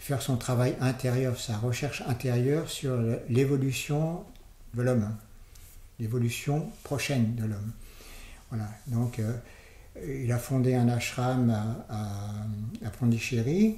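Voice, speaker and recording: Amid audible room echo, a man speaks very slowly at medium pitch with ordinary pitch variation and long, frequent pauses. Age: 70s. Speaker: interview guest, former long-time resident of an Indian community. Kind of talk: interview. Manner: halting, many hesitations and repetitions.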